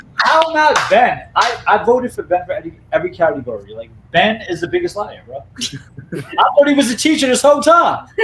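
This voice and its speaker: The speaker goes at a fairly quick pace with big swings in loudness, and noticeable background noise sits behind the voice. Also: man. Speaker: reality game contestant. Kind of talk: casual chat.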